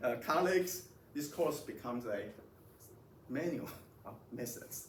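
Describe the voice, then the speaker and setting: A man talks at a fairly high pitch. The recording has noticeable background noise and audible room echo. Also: lively intonation. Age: 60s. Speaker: physics professor. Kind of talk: lecture. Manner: halting, many repetitions.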